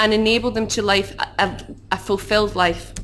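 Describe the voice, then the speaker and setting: A woman talks with a Glaswegian accent. Her pitch is fairly high. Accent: Glaswegian Scottish. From Scotland, Glasgow. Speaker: human rights campaigner. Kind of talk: conference talk. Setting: conference hall with audience. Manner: fast.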